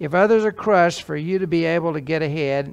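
At a moderate pace, a man talks with a fairly high pitch, vocal fry and ordinary pitch variation.

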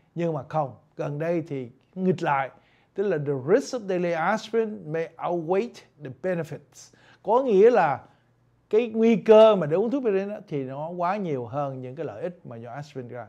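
A man with high pitch and a dark, mellow tone makes very wide pitch swings. The background is quiet. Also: moderate pace. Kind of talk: lecture. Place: studio.

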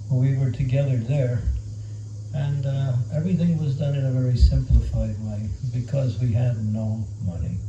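Noticeable background noise fills the recording. Through it, a man talks. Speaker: monk and spiritual teacher. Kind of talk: spiritual talk to youth. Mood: warm, lightly humorous. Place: home room.

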